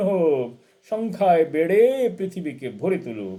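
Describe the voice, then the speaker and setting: Pitched high for a man, this man's voice has a dark, mellow tone and swings very widely in pitch. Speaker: poet and translator reciting poetry. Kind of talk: poetry reading.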